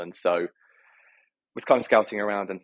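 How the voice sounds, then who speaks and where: Speaking with a British accent, a man keeps a fairly low pitch and fairly even intonation in a dry, close sound with no echo. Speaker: health tech entrepreneur. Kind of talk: interview. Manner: hesitant, many fillers.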